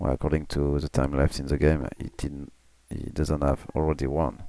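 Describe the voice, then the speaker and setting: The tone is dark and mellow. The voice is quiet. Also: man. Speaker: game commentator. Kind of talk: live commentary. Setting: home, family asleep. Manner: slow. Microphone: mic pushed close to mouth.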